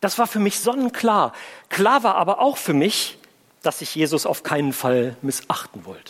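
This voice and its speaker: A man's high voice at a moderate pace, full of very wide pitch swings. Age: 50s. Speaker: pastor. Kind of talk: sermon.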